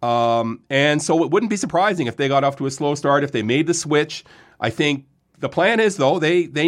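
Fairly quick and fairly high-pitched, a man with a Canadian accent talks in a plain, everyday voice on a very clean recording with a silent background. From Ontario, Lindsay. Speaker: sports journalist. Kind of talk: casual chat. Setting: studio.

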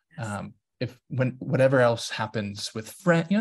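A man's medium-pitched, somewhat breathy voice carries lively intonation. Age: 40s. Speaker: DEI consultant and author. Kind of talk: interview conversation.

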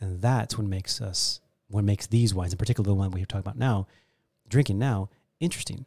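In a very clean recording with a silent background and a dry, close sound with no echo, a man speaks very fast at a fairly low pitch, with ordinary pitch variation and a dark, mellow, somewhat breathy tone. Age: 40s. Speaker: wine expert and importer. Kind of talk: casual interview chat. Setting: studio.

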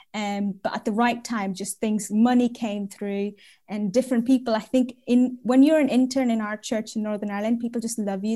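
A woman talks at a moderate pace and fairly high pitch, her tone dark and mellow. She sounds somewhat breathy, with fairly even intonation. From India, then Saudi Arabia. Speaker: church worker. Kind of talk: testimony. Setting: video call.

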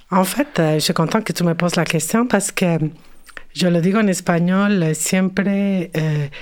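In a very clean recording with a silent background, a woman speaks with a Spanish accent. Her voice is fairly low with ordinary pitch variation, at a fairly slow pace. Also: very even loudness. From Mexico City. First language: Spanish (speaking French). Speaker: cultural worker and curator. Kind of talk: interview. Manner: halting, many hesitations.

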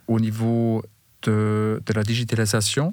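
A man with a German accent and a fairly low voice, on a very clean recording with a silent background. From Bavaria, Germany. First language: German (speaking French). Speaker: building materials executive. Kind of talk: interview. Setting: studio.

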